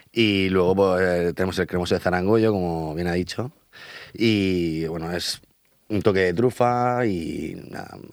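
In a very clean recording with a silent background, a man with a very deep, low pitch speaks at a very slow pace with fairly even intonation. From Murcia region, Spain (Abarán). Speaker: chef and restaurant owner. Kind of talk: radio interview. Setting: radio studio.

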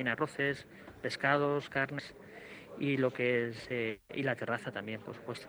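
Bright and sharp in tone, a man at a medium pitch speaks at a fairly slow pace with fairly even intonation. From Spain, Alicante. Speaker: chef. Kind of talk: interview. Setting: on location at his restaurant, radio mobile unit. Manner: halting.

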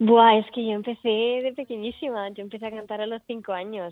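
This is a woman's voice. She has a slight Murcian accent. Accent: slight Murcian Spanish creeping in. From Italy. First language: Italian (speaking Spanish). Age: 20s. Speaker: singer-songwriter. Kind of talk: radio interview.

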